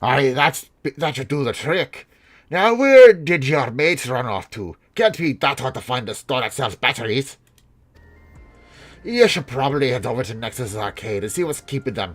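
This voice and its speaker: A man does a put-on character voice at medium pitch in a playful tone. Faint music plays in the background. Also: moderate pace. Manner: gruff, playful.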